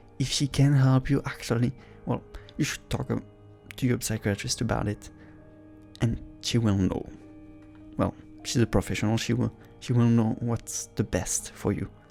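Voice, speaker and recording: A medium-pitched man speaks over background music. He leaves long, frequent pauses. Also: fairly even intonation, moderate pace. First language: not English. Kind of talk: casual talk to camera, reaction commentary. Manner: supportive, warm, encouraging.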